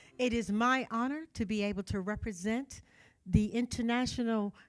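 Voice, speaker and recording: A woman speaks at a moderate pace, her fairly high voice showing ordinary pitch variation. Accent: American. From Chicago, Illinois. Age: 60s. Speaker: pageant queen. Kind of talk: speech to an audience.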